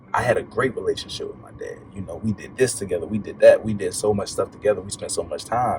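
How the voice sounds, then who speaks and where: Over music in the background, a man talks at a very fast pace with big swings in loudness. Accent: American. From Baltimore and Atlanta, US. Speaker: podcast guest, motivational speaker. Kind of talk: casual interview, personal story.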